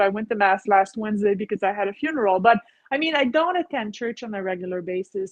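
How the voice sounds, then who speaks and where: A woman talks with lively intonation at a fairly high pitch. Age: 50s. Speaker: massage therapist. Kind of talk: casual interview chat.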